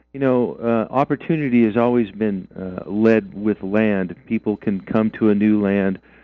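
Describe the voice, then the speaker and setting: Here is a man with an unremarkable speaking voice and an American accent. His pitch is medium, with ordinary pitch variation. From Idaho. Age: 60s. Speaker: mining and land-use activist. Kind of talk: radio interview.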